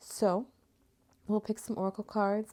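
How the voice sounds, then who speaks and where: A soft-spoken woman with a dark, mellow tone. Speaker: tarot and oracle card reader. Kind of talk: casual spiritual reading. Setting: home recording at night. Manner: soft-spoken, talking low.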